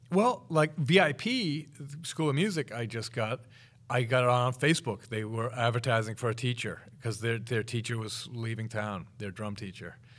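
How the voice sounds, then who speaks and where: Very clean, with a silent background, the recording features a man. He talks at a medium pitch with ordinary pitch variation. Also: moderate pace. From Massachusetts, Boston area. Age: 50s. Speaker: drummer and drum teacher. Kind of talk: interview. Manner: halting, many fillers.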